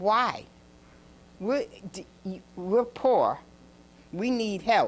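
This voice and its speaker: A woman with an American accent, fairly high pitch, lively intonation and a very slow pace. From Ossining, New York (US Northeast). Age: 80s+. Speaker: tenant, audience member. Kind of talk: public comment at meeting. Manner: emphatic.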